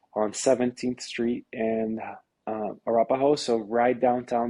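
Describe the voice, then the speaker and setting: A man with a Brazilian Portuguese accent at a moderate pace, his intonation monotone and flat. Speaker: real estate agent. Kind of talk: interview. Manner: halting.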